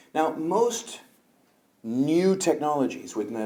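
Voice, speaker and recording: There is audible room echo around a man whose dark, mellow tone rises and falls with lively intonation. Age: 60s. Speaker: eye surgeon. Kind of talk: conference lecture. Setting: conference hall with audience.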